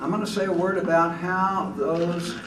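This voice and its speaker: A man speaks fairly slowly at a high pitch. The recording has audible room echo and noticeable background noise. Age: 80s+. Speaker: retired Methodist preacher, keynote speaker. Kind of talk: keynote speech.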